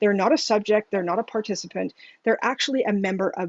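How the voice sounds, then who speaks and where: A woman talks, and her pitch moves up and down in the usual way. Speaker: patient engagement specialist. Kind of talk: webinar presentation. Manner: fast.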